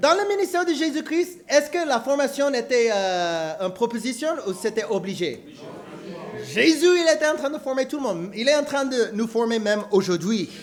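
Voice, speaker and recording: A man talks at a moderate pace in an American accent, his pitch extremely high and swinging very widely. Noticeable background noise sits behind him. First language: English (speaking French). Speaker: preacher. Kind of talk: sermon. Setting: church. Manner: halting, repeats words; animated.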